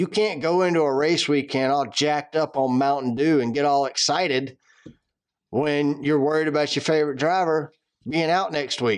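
A man with a Southern accent speaks at a moderate pace and a fairly high pitch. His intonation is fairly even, his loudness very even, and the background quiet. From Atlanta, Georgia. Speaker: podcast host. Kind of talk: casual chat.

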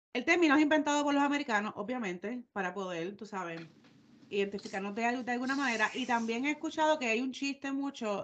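With a plain, everyday voice, a woman talks at a moderate pace. Her pitch is fairly high and her intonation lively. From Puerto Rico. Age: 30s. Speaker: podcast co-host. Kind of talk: casual chat.

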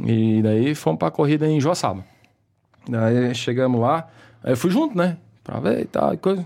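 Long, frequent pauses break up a dark, mellow voice with very wide pitch swings in a very clean recording with a silent background. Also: man, medium pitch for a man, moderate pace. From Santa Catarina, Brazil (Ibirama). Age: 30s. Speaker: businessman and amateur racing driver. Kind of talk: casual interview chat.

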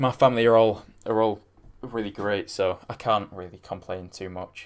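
A man at a fairly low pitch and a fairly quick pace. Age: young. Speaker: solo podcast host. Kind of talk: casual solo talk answering listener questions. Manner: halting, many fillers.

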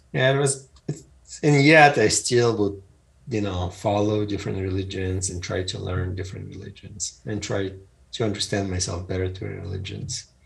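Noticeable background noise sits behind a man with a fairly low voice. He keeps a moderate pace and ordinary pitch variation. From Eastern Europe (Ukraine, former Soviet Union). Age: 50s. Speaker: entrepreneur and author. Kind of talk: interview.

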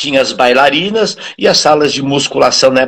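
A man with a fairly high pitch and an unremarkable speaking voice, at a moderate pace. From interior of Brazil. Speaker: physical education professor. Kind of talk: casual interview. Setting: live stream.

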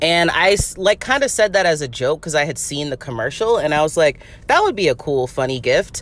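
A woman speaking at a fairly quick pace, her pitch swinging very widely. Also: fairly low pitch for a woman. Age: 30s. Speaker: podcast host. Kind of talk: casual monologue. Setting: in a car. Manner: casual, many fillers and laughs.

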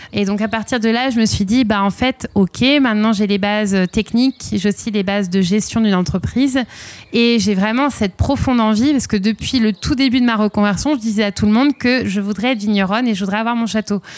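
A woman's normal speaking voice, fairly high in pitch, with fairly even intonation. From southwest France, Arcachon basin. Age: 30s. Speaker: winemaker. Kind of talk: interview testimony.

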